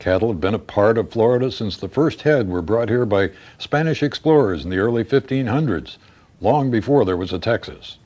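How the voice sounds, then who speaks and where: Fairly quick speech comes from a man with a normal speaking voice and a medium pitch. His intonation is lively, and the recording is very clean with a silent background. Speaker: author reading own novel. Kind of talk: audiobook narration.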